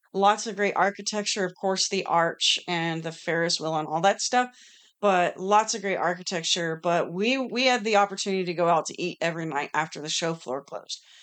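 A woman's normal speaking voice, medium in pitch with ordinary variation, at a fairly quick pace against a quiet background. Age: 40s. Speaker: podcast co-host. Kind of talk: casual chat.

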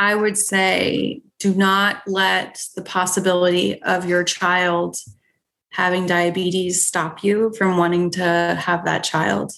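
A woman's very slow speech in a monotone, flat intonation. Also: medium pitch for a woman. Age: 30s. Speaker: nurse practitioner. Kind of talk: interview.

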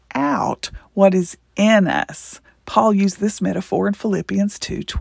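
Lively intonation marks the delivery. It is a natural reading voice.

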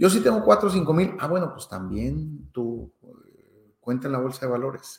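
A man talks at a moderate pace with a Mexican accent. His pitch swings very widely. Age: 50s. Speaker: finance podcaster. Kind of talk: monologue podcast. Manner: hesitant with fillers.

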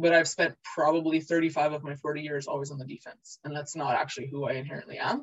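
A put-on character voice, raspy and middle in pitch, rattles along at a very fast pace. There are hardly any pauses. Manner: reflective.

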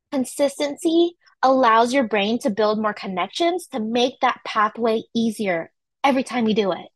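Animated in tone, a woman in a West Coast US accent speaks at a moderate pace with a fairly high pitch and lively intonation. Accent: General American (West Coast). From California, San Francisco Bay Area. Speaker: wellness coach. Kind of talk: online workshop presentation. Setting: livestreamed video recording.

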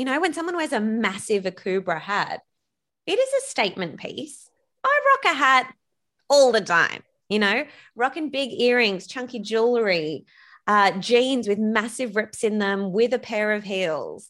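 Her pitch fairly high and her intonation lively, a woman speaks at a moderate pace on a very clean recording with a silent background. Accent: Australian. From Australia. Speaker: business coach and podcaster. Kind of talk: casual interview chat. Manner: energetic.

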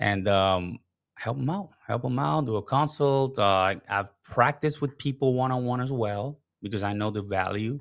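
A man with a Spanish accent. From Puerto Rico. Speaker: live streaming strategist and consultant. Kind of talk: casual interview chat. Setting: home studio, remote call.

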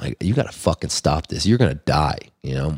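A man with an American accent talks at a fairly quick pace, with vocal fry. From Los Angeles, US. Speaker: touring musician and band frontman. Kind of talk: casual interview. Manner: animated.

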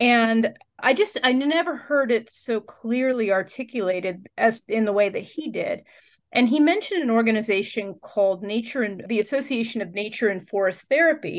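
She has an unremarkable speaking voice, fairly high in pitch, with an American accent. Her pace is moderate and her pitch variation ordinary. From central Pennsylvania. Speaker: nature therapy guide and former pastor. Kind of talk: interview conversation. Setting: studio.

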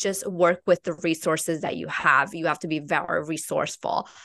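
A woman's fairly low voice, bright and sharp in tone, with an Italian accent, monotone, flat intonation and a dry, close sound with no echo. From Italy. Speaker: marketing entrepreneur. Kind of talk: casual interview chat.

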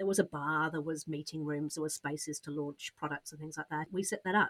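A woman with a British accent speaks with ordinary pitch variation in a dry, close sound with no echo. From Britain. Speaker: business coach. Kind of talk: interview. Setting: podcast studio.

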